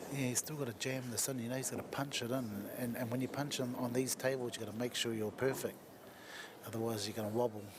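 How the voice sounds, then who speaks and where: Quiet and very fast, someone speaks in a New Zealand accent with monotone, flat intonation over noticeable background noise. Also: man, medium pitch for a man. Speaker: pool commentator. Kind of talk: live commentary. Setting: commentary box at venue. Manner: talking quietly.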